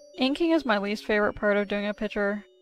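Faint music plays behind a woman speaking with ordinary pitch variation in a dry sound with no echo. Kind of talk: tutorial commentary.

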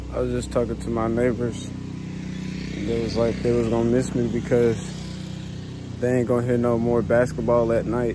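At a moderate pace, a man talks in a dry sound with no echo over noticeable background noise. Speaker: vlogger moving out. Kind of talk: casual vlog chat. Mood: reflective, a bit sad. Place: street. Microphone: phone near.

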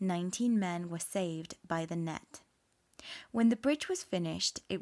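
A woman with a British accent speaks at a fairly slow pace and medium pitch, with ordinary pitch variation, in a very clean recording with a silent background. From England. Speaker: English teacher. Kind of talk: listening comprehension reading for learners. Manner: slow, clear.

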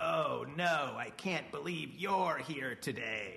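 A put-on character voice moves at a very slow pace, with audible echo around it. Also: man, high pitch for a man. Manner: creepy, eerie.

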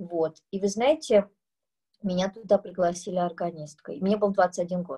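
Against a quiet background, a woman speaks. Her pace is fairly slow. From Uzbekistan, Tashkent; Uzbekistan. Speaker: composer; guest lecturer. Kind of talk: masterclass talk to students. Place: home room. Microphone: video call.

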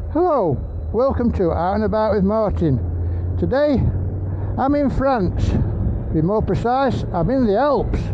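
There is noticeable background noise. A man speaks with very even loudness. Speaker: motorcycle travel vlogger. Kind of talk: travel vlog narration. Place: motorbike. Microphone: helmet.

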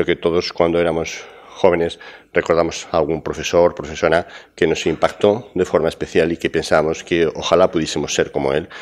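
Fairly quick and monotone, a man with a very deep, low voice speaks against a quiet background. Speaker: university professor presenting a program; conference speaker. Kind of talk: conference talk. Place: hall.

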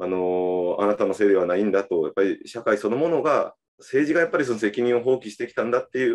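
The man talks fairly quickly, and little can be heard behind him. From Japan, Kyushu (Fukuoka); Kyushu, Japan. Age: 30s. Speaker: politician; election guest. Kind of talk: casual conversation. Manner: halting. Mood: reflective, earnest. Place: home room. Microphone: video call.

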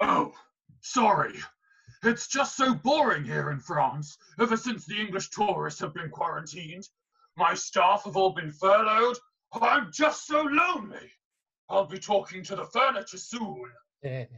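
The voice sits at a middle pitch. It moves at a moderate pace. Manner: mournful, self-pitying.

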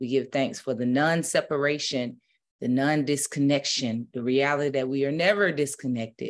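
At a moderate pace, a woman talks with a very deep, low pitch and ordinary pitch variation. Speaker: spiritual minister. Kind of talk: prayer, then casual sermon talk. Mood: calm, reverent. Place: home room. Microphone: webcam.

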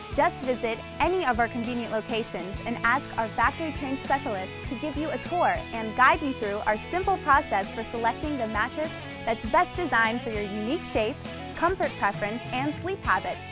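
Over clear background music, a woman speaks in an upbeat tone at a fairly quick pace. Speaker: infomercial host / spokesperson. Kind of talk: infomercial host narration. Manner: upbeat, friendly, polished. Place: shop.

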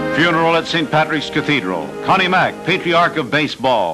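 A man talks over music in the background. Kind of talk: 1940s newsreel narration. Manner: solemn.

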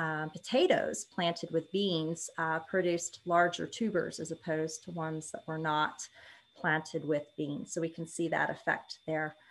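At a fairly slow pace, a woman talks with a fairly low pitch. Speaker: extension educator presenting. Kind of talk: lecture. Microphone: webcam.

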